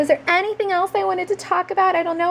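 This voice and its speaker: A woman talks very fast while noticeable noise fills the background. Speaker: journaling crafts vlogger. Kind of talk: tutorial. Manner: casual, with many fillers.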